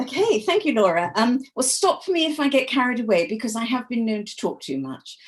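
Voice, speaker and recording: A woman with an English accent talks at a fairly quick pace with hardly any pauses, her high voice making very wide pitch swings. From England. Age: 70s. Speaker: author. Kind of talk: interview.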